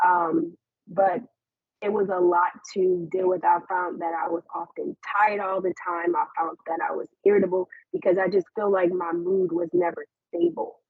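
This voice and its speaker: A woman with an unremarkable speaking voice talks at a moderate pace, her medium pitch held in a fairly even intonation. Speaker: suicide survivor and mental health speaker. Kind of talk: presentation.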